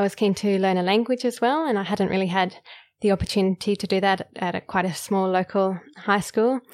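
A woman with an Australian accent at a fairly quick pace, ordinary pitch variation, on a very clean recording with a silent background. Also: medium pitch for a woman. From Queensland, Australia. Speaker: medical doctor. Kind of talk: interview conversation.

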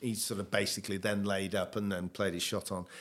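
This man has an ordinary speaking voice. His pitch sits fairly low. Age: 60s. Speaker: former golf champion. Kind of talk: casual chat.

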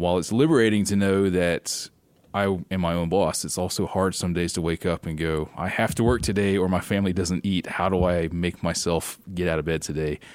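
A man with a Southern US accent talks at a fairly quick pace. His very deep, low voice keeps fairly even intonation. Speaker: travel points and miles expert. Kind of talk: casual interview chat.

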